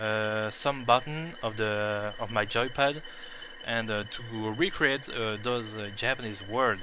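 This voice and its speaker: Speech comes at a fairly slow pace. There is noticeable background noise. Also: man. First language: not English. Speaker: video game player. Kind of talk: gameplay tutorial. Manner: halting, many fillers.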